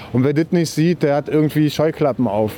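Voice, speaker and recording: Fairly high-pitched male voice amid noticeable background noise. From Berlin. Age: 40s. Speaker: protester. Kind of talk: street interview. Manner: emphatic.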